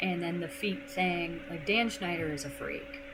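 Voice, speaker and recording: A woman speaking at a fairly slow pace, with audible room echo and noticeable background noise. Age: 20s. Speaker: gaming streamer. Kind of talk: casual live stream chat. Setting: live stream.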